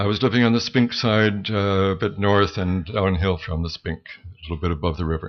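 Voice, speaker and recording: Lively intonation from a man with an American accent. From US Midwest, Michigan. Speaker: storyteller. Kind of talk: live storytelling. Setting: stage with audience, open mic. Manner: conversational, with hesitations.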